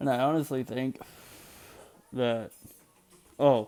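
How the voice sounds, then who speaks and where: A man's fairly even intonation comes through with music in the background. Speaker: vlogger, student. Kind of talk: casual video blog. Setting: at home, at night. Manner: loud.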